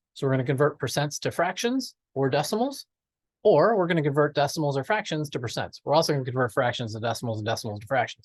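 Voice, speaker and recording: Against a quiet background, a man talks very fast in a fairly high, somewhat breathy voice with lively intonation. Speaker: math teacher. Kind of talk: lecture.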